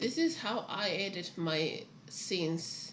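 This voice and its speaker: A woman with a non-native accent and a fairly low pitch is heard over noticeable background noise and audible room echo. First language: not English. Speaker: writer streaming her writing. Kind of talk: casual livestream chat. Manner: halting.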